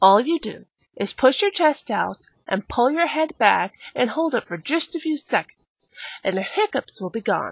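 A high-pitched woman at a moderate pace, with very wide pitch swings and a dry sound free of echo. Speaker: mock infomercial presenter. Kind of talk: infomercial-style demonstration. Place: home room.

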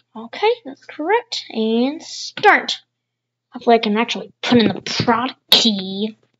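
A woman with a plain, everyday voice speaks at a fairly high pitch, with ordinary pitch variation and big swings in loudness. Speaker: tech YouTuber. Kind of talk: screen-recorded tutorial commentary.

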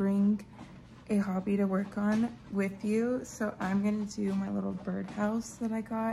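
Over light background noise, a woman speaks with fairly even intonation in a dark, mellow tone that is somewhat breathy. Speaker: lifestyle vlogger. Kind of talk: casual vlog chat. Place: home room. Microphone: phone near.

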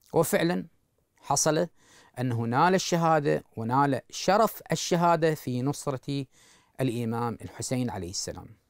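A man talks at a very slow pace with lively intonation. The sound is dry with no echo, over a quiet background. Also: fairly high pitch for a man. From Iraq. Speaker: Shia cleric. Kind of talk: religious lecture. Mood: calm, solemn. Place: studio.

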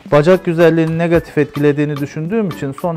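Over faint background music, a man speaks at a fairly quick pace with ordinary pitch variation. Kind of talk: explanatory narration during procedure. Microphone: phone near.

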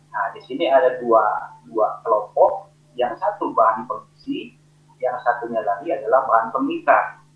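Audible room echo surrounds a man who talks at a fairly slow pace. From Indonesia. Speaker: engineer presenter; presenter. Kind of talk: technical webinar presentation. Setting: video call. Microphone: video call.

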